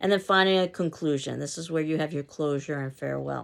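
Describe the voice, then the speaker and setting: A woman with a New York accent speaks at a very fast pace in a very deep, low pitch with ordinary pitch variation, in a very clean recording with a silent background. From US, New York City. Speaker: college instructor. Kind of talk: lecture.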